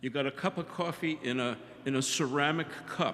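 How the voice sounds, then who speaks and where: A man's fairly high voice with ordinary pitch variation against noticeable background noise. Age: 70s. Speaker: audience member, geography teacher. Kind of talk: audience question.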